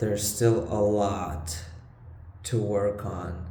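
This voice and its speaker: A man's somewhat breathy, fairly low voice with a non-native accent, in a room with audible echo. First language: not English. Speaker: vlogger. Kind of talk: casual vlog monologue. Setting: room with bad acoustics. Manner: halting. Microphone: low-quality recording, echoey room.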